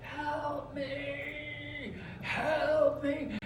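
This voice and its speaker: A put-on character voice with clear echo and loud background noise. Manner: desperate pleading.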